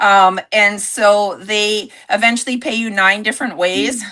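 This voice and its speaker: A woman speaks loudly at a fairly high pitch. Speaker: network marketing entrepreneur. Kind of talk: livestream sales pitch. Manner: animated.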